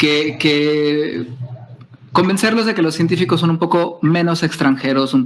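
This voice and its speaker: Over noticeable background noise, a man with a Mexican accent talks at a fairly slow pace. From Mexico, Nayarit (Tepic). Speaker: scientist. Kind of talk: lecture.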